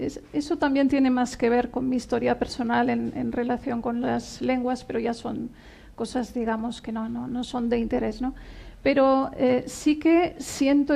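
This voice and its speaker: A woman with a Catalan accent, a high pitch, a dark, mellow tone, fairly even intonation and a fairly slow pace. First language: Catalan (speaking Spanish). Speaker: poet. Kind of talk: interview at book presentation. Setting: bookshop event with audience.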